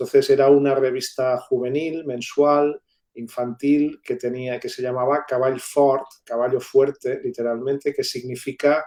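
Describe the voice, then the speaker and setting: A man with a Catalan accent speaks at a fairly slow pace with monotone, flat intonation. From Catalonia, Spain. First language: Catalan (speaking Spanish). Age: 60s. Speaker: university professor and writer. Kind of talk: interview. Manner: halting, many fillers.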